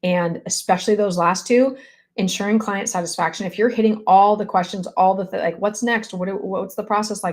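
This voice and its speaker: A woman speaks with a medium pitch. Her pace is fairly quick. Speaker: real estate coach. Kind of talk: live stream coaching chat. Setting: live video stream. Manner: fast; animated.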